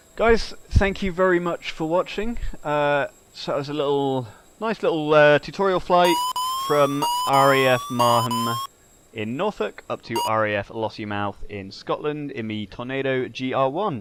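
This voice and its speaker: A man speaks at a moderate pace with a fairly high pitch and very wide pitch swings. Noticeable background noise runs under his voice. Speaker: flight sim video creator. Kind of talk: gameplay commentary.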